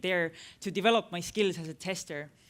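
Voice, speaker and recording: The recording is very clean with a silent background as a woman with an Estonian accent speaks fairly quickly at a medium pitch. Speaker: tech entrepreneur, conference speaker. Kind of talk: conference talk. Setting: stage with audience. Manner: halting, many fillers.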